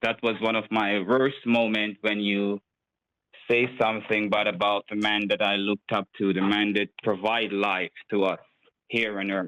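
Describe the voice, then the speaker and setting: A man's fairly low voice in a Jamaican accent, fairly even in intonation, at a moderate pace, with very even loudness. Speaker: scammer. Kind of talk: interview.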